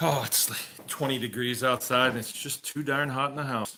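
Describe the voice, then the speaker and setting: Speaking fairly slowly, a man talks with a strong Massachusetts accent. His pitch is medium with ordinary variation. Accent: Massachusetts accent, comes back strongly. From Massachusetts (Shrewsbury). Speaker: farmer. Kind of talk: live Q&A stream. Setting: at home by a wood stove. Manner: casual, conversational.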